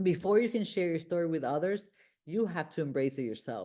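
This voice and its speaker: The speaker has a Honduran accent and a dark, mellow tone. Lively intonation runs at a moderate pace over a quiet background. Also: woman. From Honduras. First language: Spanish. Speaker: self-help podcast host. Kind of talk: motivational monologue. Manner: halting.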